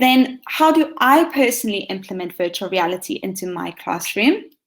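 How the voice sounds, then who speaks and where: On a very clean recording with a silent background, a woman with a South African accent speaks at a moderate pace and high pitch, her voice making very wide pitch swings. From South Africa, Western Cape (Hermanus). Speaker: teacher. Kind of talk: conference presentation.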